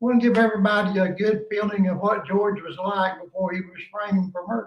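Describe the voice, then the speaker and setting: A high-pitched man in a Southern US accent, with fairly even intonation. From East Tennessee. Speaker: podcast host. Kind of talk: phone interview.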